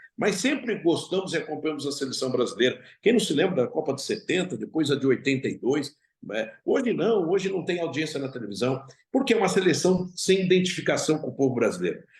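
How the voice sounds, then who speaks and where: A man speaks at a fairly quick pace in a fairly high pitch, with very wide pitch swings. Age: 60s. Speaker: football club president. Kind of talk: interview.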